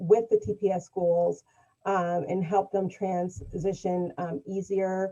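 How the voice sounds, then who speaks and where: A woman speaks at a medium pitch and a fairly slow pace. She has an ordinary speaking voice. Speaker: mental health nonprofit worker. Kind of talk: webinar panel discussion.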